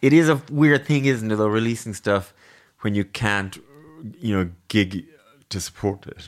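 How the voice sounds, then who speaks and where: With an Irish accent, a man speaks at a moderate pace in a fairly low pitch with ordinary variation, leaving long, frequent pauses on a very clean recording with a silent background. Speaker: podcast host. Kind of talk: interview.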